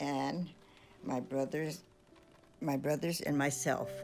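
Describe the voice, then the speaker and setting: A woman with an American accent, very deep and low in pitch, at a very slow pace with ordinary pitch variation over background music. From Stockton, California. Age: 80s+. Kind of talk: personal memoir narration over photos. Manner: hesitant, halting.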